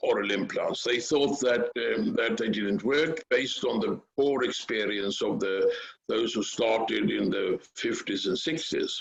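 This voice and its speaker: A man speaks at a fairly slow pace with a Swedish accent. He hardly pauses at all. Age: 70s. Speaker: dental implant researcher. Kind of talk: interview. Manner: halting.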